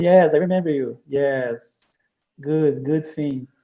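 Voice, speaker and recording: Dark, mellow tone from a man with a Brazilian Portuguese accent, ordinary pitch variation and a quiet background. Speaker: software developer for church club ministry. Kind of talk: online training presentation; casual conversation on a video call. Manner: halting. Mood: friendly, smiling. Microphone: video call.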